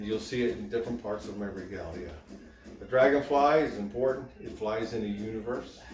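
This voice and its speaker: A man speaks at medium pitch with ordinary pitch variation. Audible room echo and music sit in the background. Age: 60s. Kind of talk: show-and-tell presentation.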